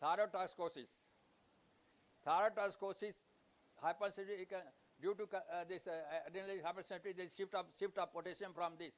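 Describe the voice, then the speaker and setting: A man speaks at a very fast pace and a high pitch, with fairly even intonation. Long, frequent pauses break up his speech. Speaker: physician presenting cases. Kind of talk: conference case presentation. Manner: halting.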